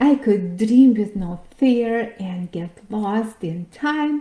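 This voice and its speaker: With a dark, mellow tone, a woman speaks in a fairly high, somewhat breathy voice with ordinary pitch variation. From Latvia, Riga. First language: Latvian or Russian. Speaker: financial coach and podcast host. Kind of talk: workshop presentation.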